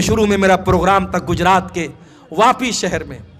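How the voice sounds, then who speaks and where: Here a man's high voice carries a bright, sharp tone. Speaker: Islamic preacher. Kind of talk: sermon. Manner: impassioned.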